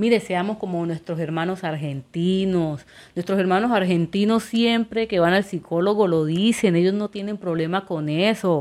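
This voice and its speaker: Using a plain, everyday voice, a woman with a medium pitch and ordinary pitch variation speaks at a moderate pace with hardly any pauses. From Colombia, Quibdó, Chocó. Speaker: podcast host. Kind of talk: solo monologue podcast.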